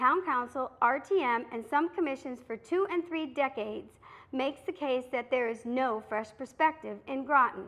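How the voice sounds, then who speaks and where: The speaker is a woman with lively intonation. Her voice sits at a high pitch. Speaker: local TV commentary host. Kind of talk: prepared political commentary. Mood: earnest, critical. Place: studio.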